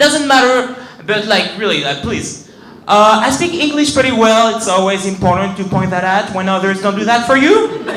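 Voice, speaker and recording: A man with a French accent speaks at a high pitch and a moderate pace. Noticeable background noise and audible room echo fill the recording. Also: lively intonation. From France (Paris). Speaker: stand-up comedian. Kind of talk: stand-up. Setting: stage with audience.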